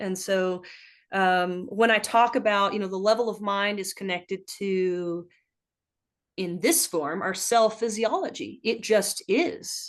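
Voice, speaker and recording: Against a quiet background, a woman with an unremarkable speaking voice talks at a fairly slow pace with ordinary pitch variation. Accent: American. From US South. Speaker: ultrarunner and health practitioner. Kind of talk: casual chat.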